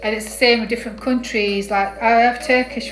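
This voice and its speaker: Music plays behind a woman with an English accent who speaks at a fairly quick pace with fairly even intonation. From northern England. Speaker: craft tutorial creator. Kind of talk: casual tutorial livestream. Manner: halting.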